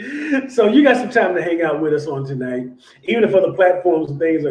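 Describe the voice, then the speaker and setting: Somewhat breathy male speech, dark and mellow in tone. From born in Illinois, raised largely in Southern California. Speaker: bible study teacher and show host. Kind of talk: casual livestream chat introducing guest.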